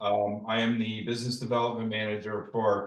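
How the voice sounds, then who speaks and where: The speech comes in a Chicago accent with monotone, flat intonation. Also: man. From US Midwest, Chicago. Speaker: travel company sales manager. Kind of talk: online presentation. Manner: casual, many fillers.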